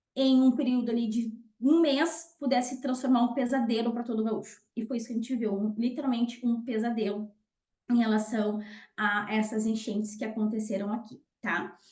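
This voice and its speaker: A woman speaks in a plain, everyday voice with a fairly high pitch. Her pace is fairly quick and her intonation stays fairly even. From southern Brazil, Rio Grande do Sul. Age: 30s. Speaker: nutritionist and lecturer. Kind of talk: online talk / webinar presentation.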